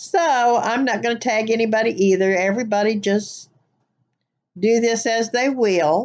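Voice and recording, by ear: A woman speaks in a Southern US accent against a quiet background.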